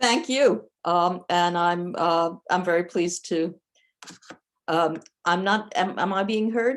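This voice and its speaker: A woman with an American accent speaks at a very slow pace. Her voice is fairly low, with ordinary pitch variation. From New York, US. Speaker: professor, cybersecurity policy. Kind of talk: lecture. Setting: video call.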